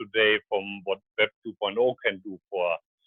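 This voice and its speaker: Here a man speaks with a strong German accent. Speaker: scientist and startup founder. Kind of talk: radio interview. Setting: phone call.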